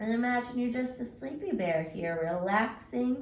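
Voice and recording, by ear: Reading aloud, the speaker uses a natural voice.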